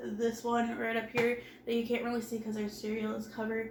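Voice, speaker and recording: A woman speaks in a flat monotone, with audible room echo and noticeable background noise. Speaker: home organizing vlogger. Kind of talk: casual vlog talk. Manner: conversational, with filler words.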